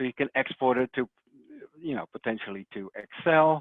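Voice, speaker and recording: A man with a Dutch accent speaks at a moderate pace and medium pitch, with ordinary pitch variation. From Netherlands. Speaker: software technical support specialist. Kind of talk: webinar presentation. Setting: online webinar. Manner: hesitant, many fillers.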